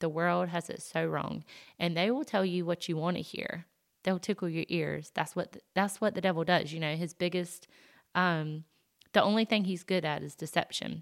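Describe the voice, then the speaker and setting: A woman in a Southern US accent, with fairly even intonation at a moderate pace, in a very clean recording with a silent background. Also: fairly low pitch for a woman. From US South. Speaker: podcast host. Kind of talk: personal testimony monologue. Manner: casual, many fillers.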